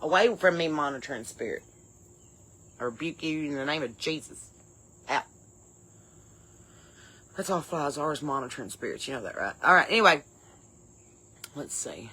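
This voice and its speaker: In a very clean recording with a silent background, a speaker with an Appalachian accent uses a bright, sharp tone and lively intonation at a moderate pace, with long, frequent pauses. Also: woman, very deep, low pitch for a woman. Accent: Appalachian Southern. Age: 40s. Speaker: comedy podcast host. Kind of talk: casual comedic podcast talk.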